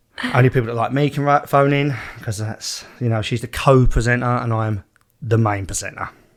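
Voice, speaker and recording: With an Essex accent, a man talks at a fairly quick pace in fairly even intonation. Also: medium pitch for a man. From East London / Essex border, England. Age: 30s. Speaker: podcast host. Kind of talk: casual chat.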